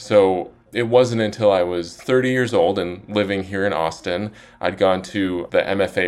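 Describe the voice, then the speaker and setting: Here is a man with a very deep, low voice and an American accent. The recording is very clean, with a silent background. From Utah, Salt Lake City suburbs. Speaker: author. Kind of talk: interview.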